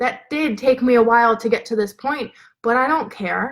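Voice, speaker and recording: A woman with a high voice speaks in an animated tone, her pitch varying in an ordinary way. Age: 20s. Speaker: business and mindset coach. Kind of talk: livestream motivational talk. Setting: live video stream. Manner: fast. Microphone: laptop mic.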